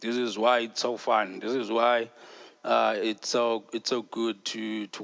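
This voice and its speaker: A man speaks with a South African accent. His pace is fairly slow and his intonation is monotone and flat. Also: dry, close sound with no echo. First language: Xhosa. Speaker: podcast host. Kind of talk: casual podcast monologue. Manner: casual, hesitant with fillers.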